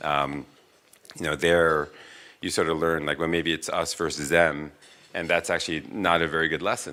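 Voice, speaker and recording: With a Korean accent, a man speaks at a moderate pace in a very deep, low pitch and a bright, sharp tone, using monotone, flat intonation and long, frequent pauses. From Queens, New York (raised, born in Korea). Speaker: corporate executive. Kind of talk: onstage interview. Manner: halting, many fillers.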